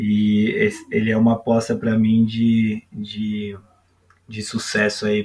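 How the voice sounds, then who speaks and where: A man's voice with monotone, flat intonation. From Brazil, São Paulo periphery. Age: 30s. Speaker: youth football coach. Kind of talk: podcast interview. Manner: hesitant, many fillers.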